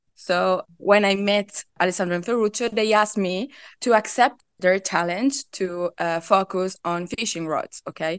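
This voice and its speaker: A woman with an Italian accent speaks at a medium pitch with ordinary pitch variation, at a fairly slow pace with hardly any pauses. The sound is dry and close with no echo, over a quiet background. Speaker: product manager, fishing gear company. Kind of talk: interview. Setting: remote call.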